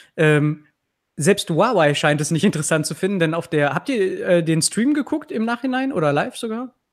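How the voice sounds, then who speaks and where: At a moderate pace, a man talks with a high pitch and very wide pitch swings. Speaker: tech YouTuber, podcast co-host. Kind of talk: casual chat. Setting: live online stream with remote co-hosts.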